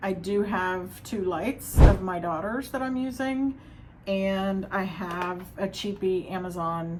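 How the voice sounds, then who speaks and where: A woman at medium pitch, very slow, with ordinary pitch variation, big swings in loudness and noticeable background noise. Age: 50s. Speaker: nanny and therapy student. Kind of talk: casual talk to camera.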